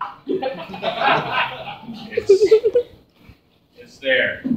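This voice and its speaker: Over loud background noise, a man speaks in a nervous tone. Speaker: comedian. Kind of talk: stand-up. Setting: stage with audience. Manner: nervous, halting, filler-heavy delivery. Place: stage. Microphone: camera far.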